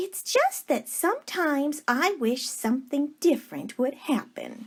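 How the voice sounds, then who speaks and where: Putting on a character voice, a woman talks at a moderate pace in a high pitch with lively intonation. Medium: read story. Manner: warm, gushing.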